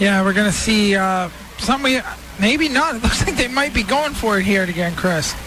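Noticeable background noise surrounds a man speaking at a moderate pace. His voice is high-pitched, with lively intonation. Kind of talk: live commentary. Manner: relaxed analyst, conversational.

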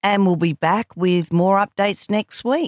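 Recorded very cleanly against a silent background, a woman speaks with an Australian accent. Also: dry, close sound with no echo. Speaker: journalist podcast host. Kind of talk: reading aloud.

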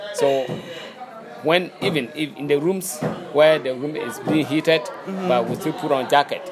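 Amid crowd noise in the background, a man with a Ghanaian accent speaks at a moderate pace, his fairly high pitch showing ordinary pitch variation. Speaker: master musician, xylophone player. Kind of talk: interview. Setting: outdoors, background noise. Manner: halting.

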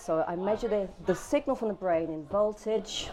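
Lively intonation from a woman over noticeable background noise. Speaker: artist. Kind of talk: interview.

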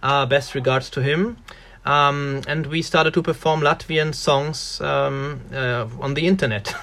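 Someone speaks at a fairly slow pace with a German accent. The pitch varies in an ordinary way. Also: man, fairly high pitch for a man. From Germany, Ruhr area. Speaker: musician. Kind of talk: casual interview.

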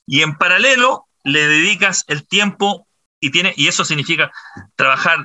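A man talks at a moderate pace in a high-pitched voice with ordinary pitch variation. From Chile, Santiago. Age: 50s. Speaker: entrepreneur, business founder. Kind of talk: interview conversation.

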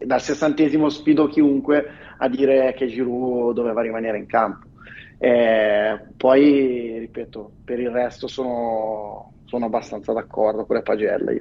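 Fairly even intonation marks speech that unfolds at a fairly slow pace. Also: man, medium pitch for a man. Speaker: football fan commentator. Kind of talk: casual chat. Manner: measured, balanced.

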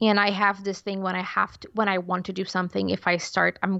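Speaking at a fairly quick pace, a woman with a Portuguese accent is heard over a quiet background in a dry, close sound with no echo. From Portugal. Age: 20s. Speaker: illustrator and podcast producer. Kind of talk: casual chat. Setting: video call.

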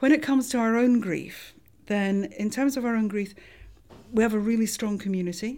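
Talking at a fairly quick pace, a woman with a Scottish accent has a fairly high pitch and a dark, mellow tone on a very clean recording with a silent background. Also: ordinary pitch variation. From Scotland. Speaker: forensic anthropologist. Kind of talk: interview.

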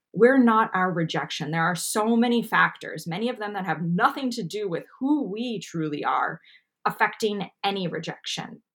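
A woman speaks at medium pitch and a moderate pace, with lively intonation. It is an ordinary speaking voice. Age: 30s. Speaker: anxiety podcast host and coach. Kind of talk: casual chat.

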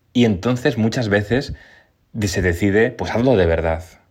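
This man has a fairly low pitch and lively intonation. He talks at a moderate pace. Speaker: television journalist. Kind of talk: interview.

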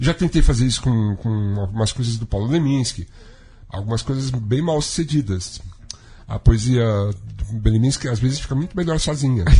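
There is noticeable background noise. A man at a medium pitch speaks at a moderate pace. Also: lively intonation. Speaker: radio show host and musician. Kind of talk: casual talk show chat. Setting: studio.

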